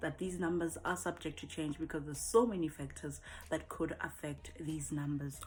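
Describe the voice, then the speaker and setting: A woman speaks at a moderate pace in a very deep, low voice with vocal fry and ordinary pitch variation. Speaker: voice actor. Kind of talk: casual talk to camera.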